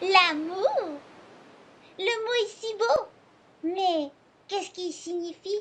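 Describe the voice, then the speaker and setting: Using a cartoonish character voice at an extremely high pitch, a woman speaks at a very slow pace with long, frequent pauses. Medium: puppet show.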